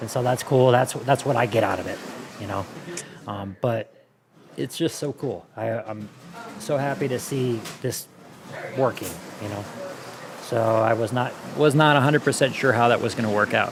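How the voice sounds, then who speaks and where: A man at a moderate pace with a medium pitch, ordinary pitch variation, long, frequent pauses and noticeable background noise. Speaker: event host, slot car racer. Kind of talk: casual chat. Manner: halting.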